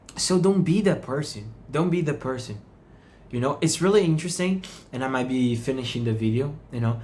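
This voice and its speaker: Somewhat breathy, the voice carries a non-native accent and lively intonation at a fairly quick pace, with audible room echo. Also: man, medium pitch for a man. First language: not English. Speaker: meditation channel host. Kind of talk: reflective monologue. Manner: halting.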